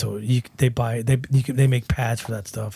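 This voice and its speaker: A man speaks at a moderate pace with a medium pitch, a somewhat breathy sound and fairly even intonation, recorded very cleanly against a silent background. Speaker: metal guitarist and band founder. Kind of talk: casual interview.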